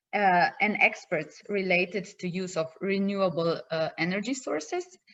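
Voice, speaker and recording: Speaking with a Slovenian accent, a woman has a medium-pitched voice. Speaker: project partner presenter. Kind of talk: conference presentation. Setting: video call. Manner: halting.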